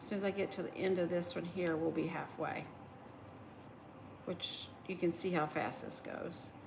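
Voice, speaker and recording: A woman with a slight Southern US accent talks at a moderate pace in a relaxed tone, her intonation monotone and flat, with long, frequent pauses, noticeable background noise and audible room echo. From West Virginia. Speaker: crochet livestreamer. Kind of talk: casual livestream chat while crafting. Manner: relaxed, hesitant with fillers.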